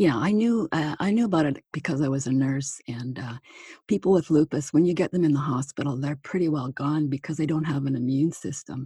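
Speaking at a fairly quick pace with lively intonation, a woman with a Canadian accent has a very deep, low pitch, a dark, mellow tone and a somewhat breathy quality, recorded with a dry, close sound with no echo. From Manitoba, Canada. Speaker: retired nurse, author and speaker. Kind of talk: interview. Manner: hesitant, many fillers.

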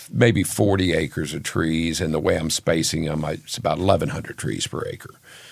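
There is noticeable background noise as someone with an American accent speaks with ordinary pitch variation. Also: man. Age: 60s. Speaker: Christmas tree farmer. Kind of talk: casual chat.

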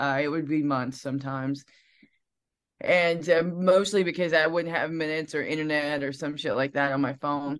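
In a Southern US accent, a woman with a very deep, low pitch speaks with fairly even intonation over a quiet background. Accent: Southern twang. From Alabama, US South. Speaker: singer-songwriter. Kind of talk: casual interview chat. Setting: video call.

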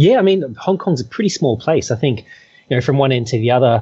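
Words rush out at a very fast pace in an Australian accent. The voice is somewhat breathy. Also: man. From Australia (Perth). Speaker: trail runner. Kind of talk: interview. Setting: remote call.

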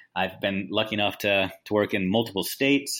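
The recording is very clean, with a silent background. A man with an unremarkable speaking voice talks in a fairly low pitch with fairly even intonation. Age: 40s. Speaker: educator, author and speaker. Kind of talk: interview.

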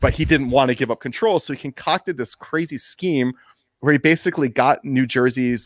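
A man with an American accent talks at a fairly quick pace, with ordinary pitch variation and a normal speaking voice. The sound is dry and close with no echo, on a very clean recording with a silent background. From Washington, D.C. area. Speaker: documentary filmmaker. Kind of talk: casual interview.

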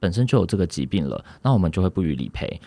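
A man's very deep, low voice with vocal fry and a dark, mellow tone, very fast and swinging very widely in pitch, dry and close with no echo on a very clean recording with a silent background. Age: 20s. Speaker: insurance agent. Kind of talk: interview.

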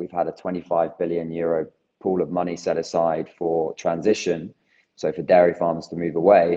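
A man with a very deep, low voice talks at a moderate pace in a monotone, flat way. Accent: British. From UK. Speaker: plant-based cheese company founder. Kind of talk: interview.

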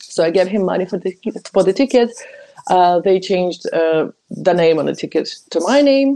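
In a Ukrainian accent, a woman talks with lively intonation and a dark, mellow tone. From Ukraine, Kyiv. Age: 20s. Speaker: journalist. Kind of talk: personal testimony.

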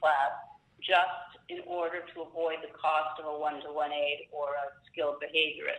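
A woman at a moderate pace, against noticeable background noise. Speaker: special education attorney. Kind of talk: expert Q&A interview.

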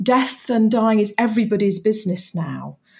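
Somewhat breathy, a woman speaks with a British accent. Her pitch variation is ordinary. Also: very clean recording, silent background. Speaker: campaigner and author. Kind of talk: interview.

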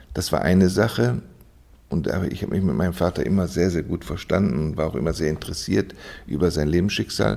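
This man talks at a fairly quick pace in a very deep, low voice with a dark, mellow tone, vocal fry and ordinary pitch variation. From Germany, Düsseldorf. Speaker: orthodox bishop. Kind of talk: interview. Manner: hesitant, many fillers.

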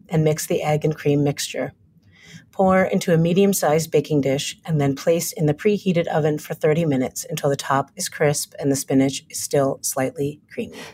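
This woman speaks at a moderate pace with an American accent, her voice very deep and low, dark and mellow, and somewhat breathy. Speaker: TV writer and director. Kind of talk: casual interview conversation. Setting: video call.

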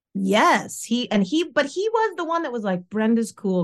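In a plain, everyday voice with ordinary pitch variation, a woman speaks at a moderate pace against a quiet background. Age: 40s. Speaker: podcast co-host. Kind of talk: casual chat.

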